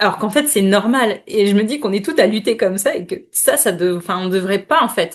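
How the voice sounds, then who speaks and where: In a quiet background, a woman of medium pitch talks at a fairly quick pace with hardly any pauses and ordinary pitch variation. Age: 30s. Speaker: menstrual cycle and women's health specialist. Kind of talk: podcast interview. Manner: hesitant, many fillers.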